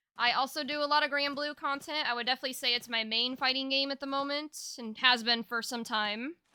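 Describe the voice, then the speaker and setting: The voice is raised and projected, with a bright, sharp tone and fairly even intonation. It races along at a very fast pace with hardly any pauses. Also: woman, high pitch for a woman. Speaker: streamer. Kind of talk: live stream chat. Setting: live stream. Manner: halting.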